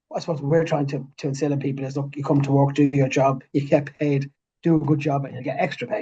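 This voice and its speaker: A man speaks very fast in a strong north Dublin accent, his voice fairly high and somewhat breathy. His tone is dark and mellow, and his intonation is monotone and flat. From Ireland, north Dublin. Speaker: business managing director. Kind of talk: interview. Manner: halting, with repetitions.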